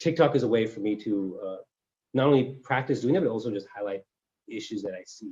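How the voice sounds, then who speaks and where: A man at medium pitch speaking at a very fast pace, dark and mellow in tone, with ordinary pitch variation and big swings in loudness. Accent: Californian. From US West Coast, Cupertino. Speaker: civil engineer and social media creator. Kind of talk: interview. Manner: halting, many fillers and restarts.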